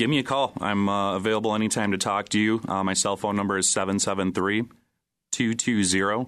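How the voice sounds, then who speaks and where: A man with an unremarkable speaking voice, fairly low in pitch, at a moderate pace against a quiet background. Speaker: real estate broker. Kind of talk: professional discussion.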